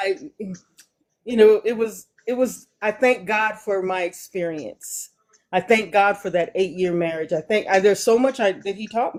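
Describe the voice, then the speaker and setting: Talking at a moderate tempo, a woman with an unremarkable speaking voice holds a medium pitch that shifts with ordinary variation. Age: 60s. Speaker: live stream viewer sharing her story. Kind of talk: casual chat.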